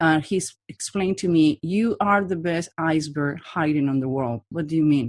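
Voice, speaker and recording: A woman with a non-native accent speaks at a moderate pace with hardly any pauses, her pitch very deep and low with ordinary variation. The background is quiet. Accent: foreign. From Latin America. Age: 40s. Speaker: body language profiler and trainer. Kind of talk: interview. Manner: direct.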